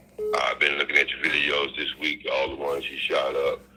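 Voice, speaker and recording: A man speaks at a fairly quick pace. Noticeable background noise runs beneath him. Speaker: caller. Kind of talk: phone-in question. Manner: halting, many fillers.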